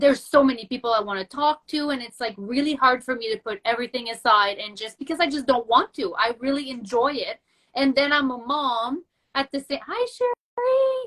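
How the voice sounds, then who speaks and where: A woman's high-pitched voice with a French accent, fairly quick pace, ordinary pitch variation, and a dry, close sound with no echo. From Quebec. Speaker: entrepreneur. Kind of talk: casual chat. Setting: video call.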